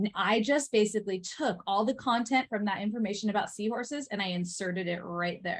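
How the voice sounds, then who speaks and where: A somewhat breathy woman's voice at medium pitch, with ordinary pitch variation, a fairly quick pace and hardly any pauses. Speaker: teacher trainer. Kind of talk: workshop presentation. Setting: in-person session with live audience. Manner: fast.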